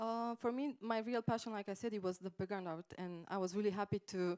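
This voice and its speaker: With a Romanian accent, a woman speaks at a moderate pace in a dry, close sound with no echo. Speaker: game artist. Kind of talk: conference talk. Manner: halting, many fillers.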